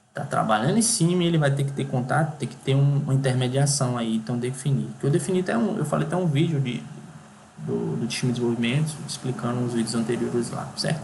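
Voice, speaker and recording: The man talks at a very fast pace, medium in pitch with ordinary pitch variation. Audible room echo and noticeable background noise fill the recording. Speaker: software engineering instructor. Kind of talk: tutorial. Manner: halting.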